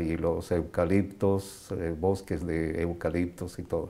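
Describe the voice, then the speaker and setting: Very slow and monotone with a flat intonation, a man speaks in a very deep, low voice with a dark, mellow tone. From Bolivia, La Paz. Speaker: immigrant. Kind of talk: interview. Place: home room. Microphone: lapel.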